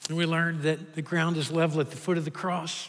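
A fairly high-pitched man with a Kentucky accent at a fairly quick pace. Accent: Kentucky Southern US. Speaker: pastor. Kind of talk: sermon. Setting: church.

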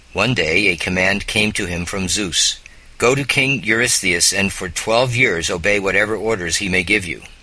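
A man speaks at a moderate pace in a fairly low pitch with ordinary pitch variation. Noticeable background noise is present. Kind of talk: children's story narration, audiobook-style reading aloud. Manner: storyteller's tone, steady and expressive, dramatic at the monster and hero moments; measured and clear, formal, old-fashioned prose read aloud.

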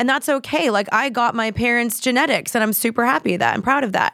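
On a very clean recording with a silent background, a woman speaks in a plain, everyday voice, fairly high in pitch and with fairly even intonation. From Texas, Dallas. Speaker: influencer and podcaster. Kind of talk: casual chat.

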